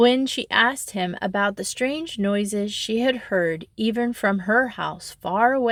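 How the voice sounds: The speaker reads in a natural reading voice, using ordinary pitch variation.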